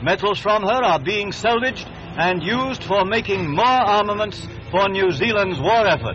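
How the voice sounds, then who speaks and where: Over music in the background, a man with a high pitch talks at a moderate pace with ordinary pitch variation, very even loudness and hardly any pauses. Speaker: newsreel narrator. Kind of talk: newsreel narration.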